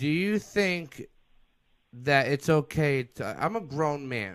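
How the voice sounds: A man at a fairly high pitch, slow pace, big pitch swings and a fairly bright tone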